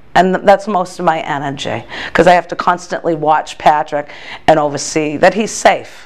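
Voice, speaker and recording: A woman with an American accent speaks in a fairly low pitch with fairly even intonation, against noticeable background noise. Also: moderate pace. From Massachusetts. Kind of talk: interview testimony. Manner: halting, many fillers and restarts.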